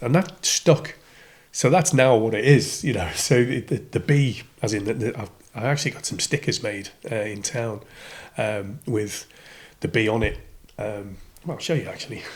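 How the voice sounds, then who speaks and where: Somewhat breathy and medium in pitch, a man speaks at a moderate pace with ordinary pitch variation and long, frequent pauses. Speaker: radio DJ. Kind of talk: podcast interview answer. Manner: casual, hesitant.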